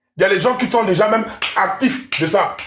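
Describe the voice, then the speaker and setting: A man speaks with music in the background. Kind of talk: heated monologue. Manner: loud.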